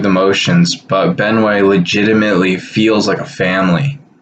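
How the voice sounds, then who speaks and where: Through noticeable background noise, a man speaks at a fairly low pitch with ordinary pitch variation. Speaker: school staff member hosting video. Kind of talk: scripted school announcement video. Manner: halting, many fillers.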